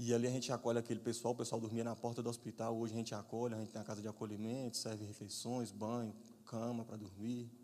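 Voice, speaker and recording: A man at a very fast pace, medium in pitch, dark and mellow in tone, with monotone, flat intonation. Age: 30s. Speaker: guest preacher. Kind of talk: sermon.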